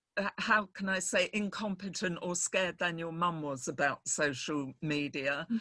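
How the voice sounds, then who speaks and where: Bright and sharp in tone, a woman's fairly low voice shows ordinary pitch variation. She keeps a moderate pace with hardly any pauses. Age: 70s. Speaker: mentor giving business advice. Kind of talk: feedback on video call.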